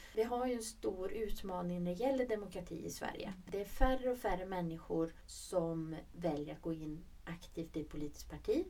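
With a dark, mellow tone, a woman speaks at a moderate pace and medium pitch, her lively intonation running with hardly any pauses. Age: 40s. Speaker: regional politician, podcast co-host. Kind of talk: casual chat. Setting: studio.

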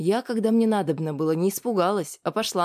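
Pitch shifts in an ordinary way across an unforced reading voice.

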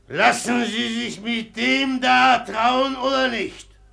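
A man's put-on character voice, extremely high-pitched, bright and sharp, with vocal fry and a slow pace. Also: ordinary pitch variation.

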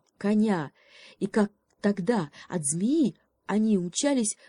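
Reading aloud in a natural voice, the background quiet

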